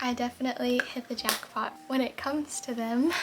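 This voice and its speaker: A woman's high-pitched voice in a calm tone, with noticeable background noise. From Florida. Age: 20s. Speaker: lifestyle vlogger. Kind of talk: get-ready-with-me vlog. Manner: calm, slow.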